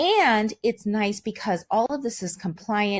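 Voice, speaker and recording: A woman, somewhat breathy, medium in pitch, at a fairly slow pace. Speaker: online marketer. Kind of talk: product demo.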